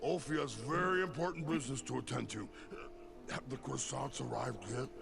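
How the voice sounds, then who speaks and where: Over loud background music, a man does a put-on character voice at a fairly quick pace. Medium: video game. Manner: simple, talks about self in third person.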